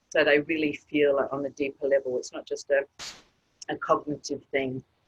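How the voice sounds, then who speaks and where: A woman with an Australian accent, in a dry, close sound with no echo. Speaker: author and women's group facilitator. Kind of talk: interview.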